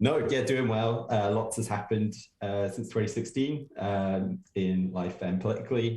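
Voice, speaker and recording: Somewhat breathy, with a dark, mellow tone and ordinary pitch variation, the voice carries an English accent. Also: man. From England. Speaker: political campaigner. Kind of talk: podcast interview. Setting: remote call.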